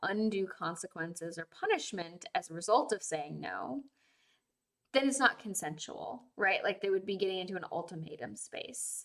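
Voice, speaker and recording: Lively in intonation, a woman with an ordinary speaking voice, a medium pitch and an American accent talks at a fairly quick pace. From Massachusetts (Plymouth). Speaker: consent educator and livestream host. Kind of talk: casual livestream talk. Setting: live stream.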